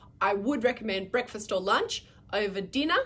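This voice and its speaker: With an Australian accent, a woman speaks at a fairly high pitch with ordinary pitch variation. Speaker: midwife answering parent questions. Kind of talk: live Q&A stream. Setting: live video stream. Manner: fast.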